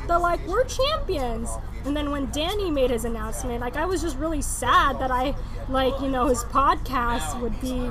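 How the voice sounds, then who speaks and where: A woman at a moderate pace amid noticeable background noise and audible room echo. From Philippine-born, grew up in Jakarta, Indonesia. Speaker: podcast guest. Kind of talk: casual chat.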